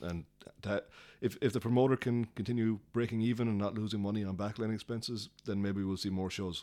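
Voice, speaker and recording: Here a man speaks at a fairly low pitch in a dark, mellow tone. His intonation is fairly even and his pace fairly quick. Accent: Cork. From Ireland, Cork. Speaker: music promoter. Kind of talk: casual interview.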